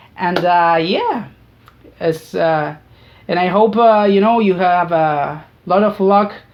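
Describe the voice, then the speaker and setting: A woman with a Spanish accent and a fairly low pitch, very slow, with long, frequent pauses and fairly even intonation. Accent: non-native English, Spanish-speaking. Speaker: YouTuber. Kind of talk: casual monologue. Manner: halting, many fillers and repetitions.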